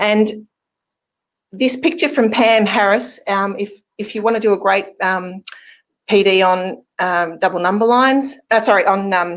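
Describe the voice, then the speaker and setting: A woman talks at a fairly slow pace with an Australian accent. Her pitch variation is ordinary, and the background is quiet. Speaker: math teacher presenter. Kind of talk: webinar presentation.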